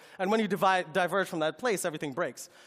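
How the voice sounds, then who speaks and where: There is lively intonation as this man speaks. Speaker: tech company presenter. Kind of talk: product presentation. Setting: stage with audience. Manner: fast; halting, many fillers.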